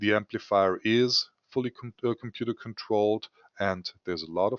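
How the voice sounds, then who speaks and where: With a German accent, a man speaks at a moderate pace in a fairly low pitch. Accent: German accent, somewhat weird. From Germany. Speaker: scientific equipment sales executive. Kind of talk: webinar presentation. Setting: online webinar.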